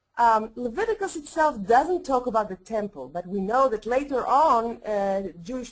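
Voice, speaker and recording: The speaker is a woman with a non-native accent. Her voice is high in pitch. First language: Hebrew. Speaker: rabbi and professor. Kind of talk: lecture. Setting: webinar. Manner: halting, many fillers.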